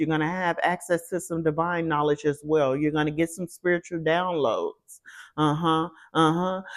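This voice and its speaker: Over a silent background in a very clean recording, a woman speaks in a monotone at a fairly low pitch, her intonation flat. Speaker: tarot reader. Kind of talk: tarot reading. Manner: fast.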